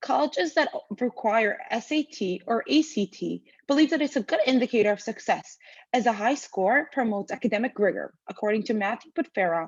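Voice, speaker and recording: A fairly high female voice with lively intonation at a fairly quick pace, dry and close with no echo. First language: not English. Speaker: student. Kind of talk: reading aloud. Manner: formal.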